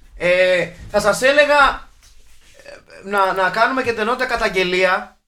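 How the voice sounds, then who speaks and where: Raising and projecting his voice, a man speaks at a fairly slow pace with a high pitch, ordinary pitch variation and long, frequent pauses. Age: 40s. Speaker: film podcast host. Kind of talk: casual chat.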